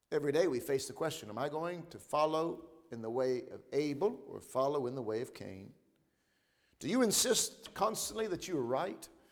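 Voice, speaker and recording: Audible room echo surrounds a man's fairly high voice as he speaks at a moderate pace with lively intonation and big swings in loudness. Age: 30s. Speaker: pastor. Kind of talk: sermon.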